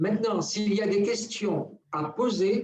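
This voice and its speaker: Very slow and fairly even in intonation, a man talks at a high pitch. Noticeable noise runs in the background. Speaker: spiritual teacher. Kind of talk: teaching talk on a live radio show.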